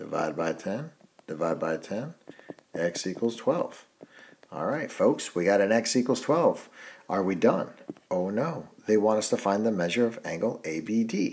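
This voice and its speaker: A man speaks at a moderate pace in an ordinary speaking voice, his fairly low pitch carried by lively intonation. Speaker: math teacher. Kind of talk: tutorial.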